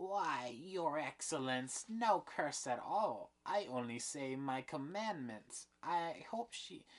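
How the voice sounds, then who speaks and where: In a put-on character voice of middle pitch, the speaker goes at a very slow pace. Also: hardly any pauses. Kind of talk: mimicked old crone. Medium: read story.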